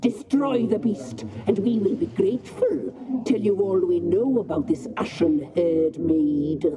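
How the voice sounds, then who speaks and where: In a put-on character voice, fairly high in pitch with very wide swings, the speaker goes at a fairly slow pace with hardly any pauses over clear background noise. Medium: video game. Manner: imperious.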